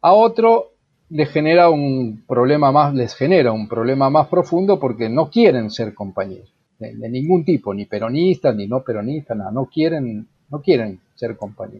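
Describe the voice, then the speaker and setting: A man's voice with very wide pitch swings and big swings in loudness. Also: medium pitch for a man, moderate pace. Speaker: journalist, writer and human rights lawyer. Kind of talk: interview. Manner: halting, with many fillers.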